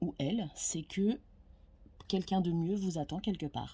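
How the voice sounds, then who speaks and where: On a very clean recording with a silent background, a woman with a fairly low, dark and mellow voice speaks at a fairly slow pace, sounding somewhat breathy. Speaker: tarot card reader. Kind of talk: casual monologue to camera. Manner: hesitant, many fillers.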